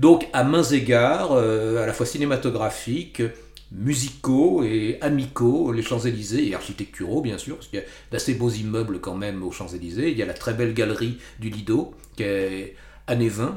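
Audible room echo surrounds a man's somewhat breathy, medium-pitched voice, which has ordinary pitch variation and big swings in loudness. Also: moderate pace. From Paris region, France. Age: 60s. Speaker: author. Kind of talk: interview.

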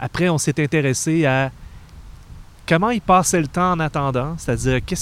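A man with a Quebec accent speaks at a fairly quick pace and a fairly high pitch. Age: 30s. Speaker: podcast host. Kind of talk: casual chat.

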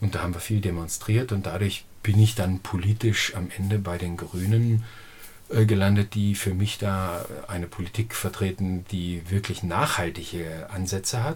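At a moderate pace, a man speaks in a somewhat breathy voice with a fairly low pitch. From Lower Saxony, northern Germany. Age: 50s. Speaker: organic farmer. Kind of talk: interview. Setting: at home, face to face. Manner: hesitant, many fillers.

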